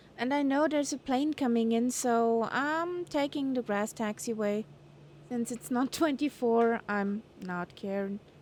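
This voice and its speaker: A woman with a German accent, high-pitched, fairly slow, with ordinary pitch variation. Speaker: flight sim streamer. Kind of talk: live stream commentary. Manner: chatty.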